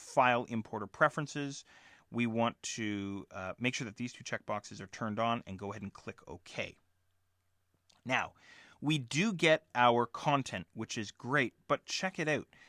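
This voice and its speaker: In a very clean recording with a silent background and a dry, close sound with no echo, a man speaks at a moderate pace in a medium pitch, his bright, sharp tone carrying lively intonation and big swings in loudness. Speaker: software instructor. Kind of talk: tutorial. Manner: casual.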